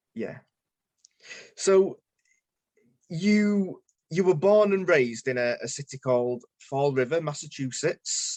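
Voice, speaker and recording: A man with a northern English accent talks in a fairly high voice with lively intonation. His pace is very slow, with long, frequent pauses. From northern England. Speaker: podcast host. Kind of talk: interview.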